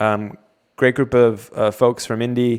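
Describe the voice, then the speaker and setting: At a fairly slow pace, a man with a North American accent speaks in a plain, everyday voice at a medium pitch. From US, Cleveland, Ohio. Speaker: webinar host. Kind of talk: panel discussion.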